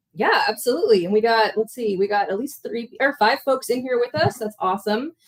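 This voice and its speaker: In an American accent, a woman with a fairly high pitch talks at a fairly quick pace with ordinary pitch variation. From San Francisco, US. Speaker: history mixology channel co-host. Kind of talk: casual livestream chat. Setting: livestream video.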